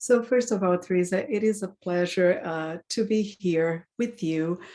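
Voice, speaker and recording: A woman's fairly slow, medium-pitched speech, dark and mellow in tone with ordinary pitch variation, on a very clean recording with a silent background. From Brazil. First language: Portuguese. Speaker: board director. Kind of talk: interview.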